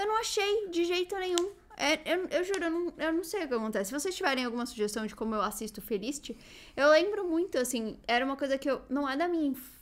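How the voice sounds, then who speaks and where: A woman's high-pitched voice at a very fast pace, with very wide pitch swings. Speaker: youtuber. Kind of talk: casual chat. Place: home room. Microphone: studio mic.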